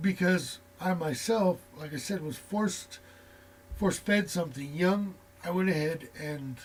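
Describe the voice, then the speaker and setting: Ordinary pitch variation runs through the speech. The speaker is a man. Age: 40s. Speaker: tarot reader. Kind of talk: casual chat. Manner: casual, with many fillers.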